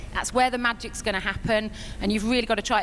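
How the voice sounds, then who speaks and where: A British accent with audible room echo. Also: woman. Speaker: network marketing distributor. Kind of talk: stage speech. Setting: stage with audience. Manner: quavering.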